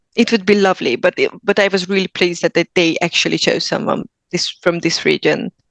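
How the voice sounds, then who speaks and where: A woman speaks at a fairly quick pace in a Hungarian accent, with medium pitch, ordinary pitch variation and vocal fry. Her loudness stays very even, and the sound is dry and close with no echo. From Hungary. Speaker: actor. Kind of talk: interview.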